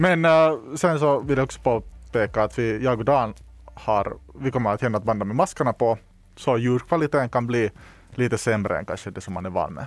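Using a normal speaking voice, a man talks fairly quickly at medium pitch with lively intonation. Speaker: podcast host. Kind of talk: casual chat.

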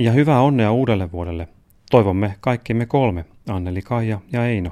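The tone is dark and mellow, with ordinary pitch variation. The pace is moderate, on a very clean recording with a silent background. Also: man. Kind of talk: literary letter reading, father's letter read aloud as a man.

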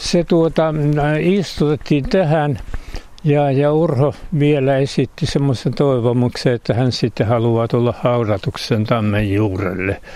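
A man talks at a very slow pace with a medium pitch and lively intonation. Noticeable background noise runs behind him. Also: very even loudness. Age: 80s+. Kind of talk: storytelling. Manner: halting.

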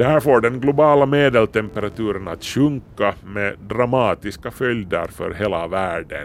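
A man in a normal speaking voice at a moderate pace, ordinary pitch variation, hardly any pauses. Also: medium pitch for a man. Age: 50s. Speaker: science editor, radio host. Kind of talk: scripted narration.

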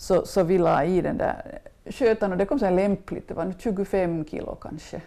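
A woman's dark, mellow tone at medium pitch, lively in intonation, moderate in pace. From Finland, western Uusimaa (Swedish-speaking, Ekenäs area). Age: 60s. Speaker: food writer and former journalist. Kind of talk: interview, casual chat. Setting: home kitchen.

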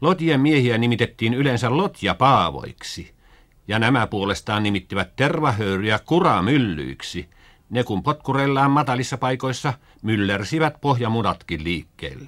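On a very clean recording with a silent background, a man with vocal fry speaks at a medium pitch and a fairly slow pace with lively intonation. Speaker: school radio narrator. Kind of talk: 1950s school radio broadcast, scripted educational narration. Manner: formal, measured, earnest, didactic; plain old-fashioned radio diction, stagey when role-playing with children.

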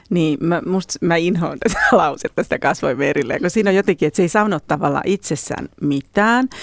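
This is an ordinary speaking voice at a moderate pace with lively intonation and hardly any pauses. The sound is dry and close, with no echo. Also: woman, fairly low pitch for a woman. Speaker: relationship educator and author. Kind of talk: interview.

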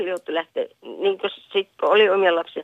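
At a fairly slow pace, a woman speaks with very wide swings in pitch. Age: old. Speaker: caller, grandmother. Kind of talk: phone-in call.

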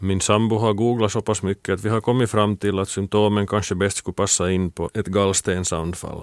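Fairly low male voice, monotone and flat, at a moderate pace with hardly any pauses, dry and close with no echo in a very clean recording against a silent background. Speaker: former shot putter. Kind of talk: scripted narration.

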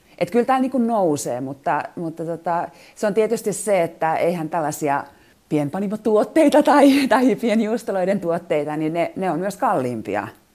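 A woman's dark, mellow tone with very wide pitch swings. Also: medium pitch for a woman, moderate pace. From Finland. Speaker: foreign correspondent. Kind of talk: interview. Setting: remote from home kitchen.

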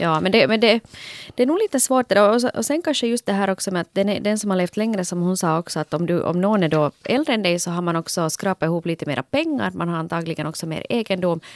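Talking at a very fast pace, a woman with a medium pitch uses lively intonation. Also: dry, close sound with no echo. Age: 40s. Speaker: podcast host. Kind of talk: casual chat.

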